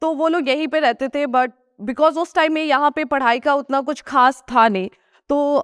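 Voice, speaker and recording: With a Nepali accent, a woman talks in a high pitch at a moderate pace. Her pitch varies in an ordinary way. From Sikkim, India (Gangtok). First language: Nepali (speaking Hindi). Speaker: food vlogger. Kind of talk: motivational talk.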